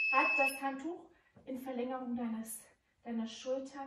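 A woman at a very slow pace, with audible room echo and noticeable background noise. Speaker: fitness instructor. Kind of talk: workout instruction. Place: gym.

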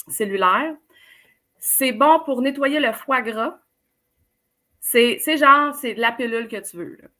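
A woman speaks very slowly with a Quebec accent, her tone bright and sharp. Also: long, frequent pauses, big swings in loudness. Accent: Québécois French. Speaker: life coach. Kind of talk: casual interview.

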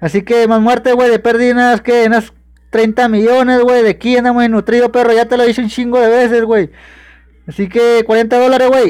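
Against a quiet background, a man with a Mexican accent talks at a moderate pace in an extremely high voice, monotone and flat, his loudness very even. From Mexico. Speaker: gaming streamer. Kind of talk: live stream chat. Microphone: phone near.

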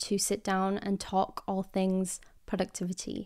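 A woman speaks with a quiet background behind her. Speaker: podcast host. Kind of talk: casual podcast chat. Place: home room. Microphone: studio mic.

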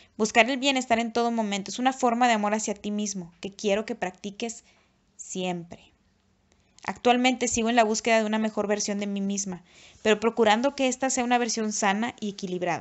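Here is an ordinary speaking voice at a fairly quick pace. The intonation stays fairly even. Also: woman, fairly high pitch for a woman. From Mexico, Nuevo Laredo, Tamaulipas. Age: 30s. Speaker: YouTuber and author. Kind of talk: reading aloud.

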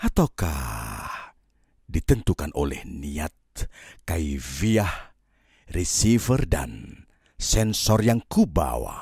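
A man's very deep, low voice with vocal fry, dramatic and very slow, with very wide pitch swings in a dry, close sound with no echo. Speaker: audiobook narrator. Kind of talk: audiobook poetry reading, spoken word. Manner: slow, contemplative, lyrical; wistful, yearning, dramatic.

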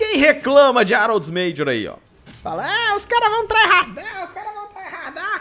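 The voice is raised and projected, with a playful tone and very wide pitch swings. Music plays in the background. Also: man. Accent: Brazilian. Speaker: esports commentator. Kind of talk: live esports commentary, play-by-play of a Dota 2 match. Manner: jokey and playful, teasing players with banter.

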